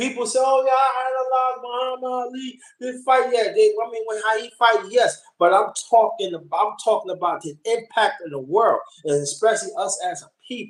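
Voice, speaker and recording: An extremely high male voice at a moderate pace, with hardly any pauses, big swings in loudness and lively intonation. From New York City (Brooklyn). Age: 50s. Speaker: boxing fan guest. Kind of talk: casual chat.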